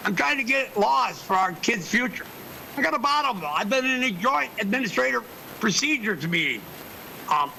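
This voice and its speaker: A man speaks at a fairly quick pace in a raised, projected voice, pitched high for a man. His pitch swings very widely, and noticeable background noise runs underneath. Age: 60s. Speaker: public commenter. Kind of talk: public comment. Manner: rambling, halting.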